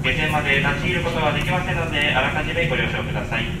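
A man speaks amid loud background noise. There is audible room echo. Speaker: ship crew announcer. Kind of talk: public address announcement. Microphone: pa.

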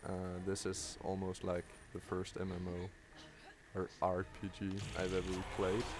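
A man speaks at a very slow pace in a very deep, low pitch. His intonation is monotone and flat, with music in the background. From Denmark. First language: Danish. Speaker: gaming YouTuber. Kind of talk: live gameplay commentary. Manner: halting, many fillers.

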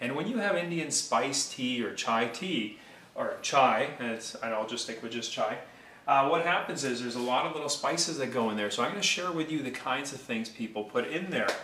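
Using lively intonation, a man speaks at a moderate pace in a space with audible room echo. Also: medium pitch for a man. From India. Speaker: mortgage broker; presenter. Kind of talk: cooking tutorial. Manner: casual, conversational. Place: kitchen. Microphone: phone near.

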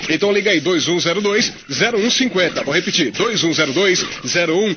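High male voice at a moderate pace with hardly any pauses, over noticeable background noise. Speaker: radio announcer. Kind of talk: radio DJ talk. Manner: upbeat. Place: studio.

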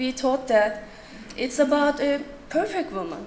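A woman at a fairly slow pace in a Turkish accent, ordinary pitch variation, light background noise. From Turkey. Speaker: writer; conference presenter. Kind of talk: conference talk. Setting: stage with audience. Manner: halting. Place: hall. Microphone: podium.

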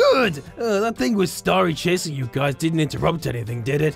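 A put-on character voice at a middle pitch talks at a moderate pace. Clear music plays in the background. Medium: role play. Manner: playful, teasing.

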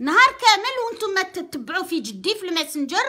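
A woman's raised, projected voice, bright and sharp in tone, animated, with lively intonation over a quiet background. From Algeria. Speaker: radio host. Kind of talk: casual rant to audience, code-switching. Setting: online video, address to viewers. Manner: animated, emphatic. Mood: defiant, proud. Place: home room. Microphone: phone near.

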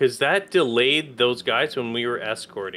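At a fairly slow pace, a man talks in an ordinary speaking voice with ordinary pitch variation. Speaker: gaming YouTuber. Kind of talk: gaming let's play commentary. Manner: excitable.

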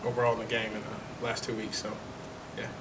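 A man talks at a fast pace. Background noise is clearly audible.

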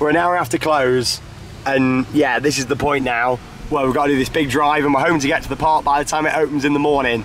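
Over faint background noise, a man talks fast with a fairly high pitch and a fairly bright tone.

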